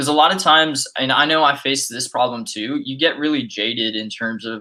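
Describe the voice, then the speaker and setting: With an American accent, a man speaks at medium pitch and a moderate pace in a bright, sharp tone. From Texas, San Antonio. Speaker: marketer. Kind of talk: casual chat.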